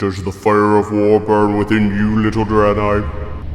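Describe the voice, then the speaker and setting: A man's fairly low-pitched, menacing put-on character voice at a fairly slow pace, with clear echo and clear background noise. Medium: audio drama. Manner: imperious, menacing.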